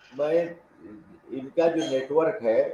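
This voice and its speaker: Background noise is noticeable behind a man's speech. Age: 60s. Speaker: political commentator. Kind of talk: panel discussion.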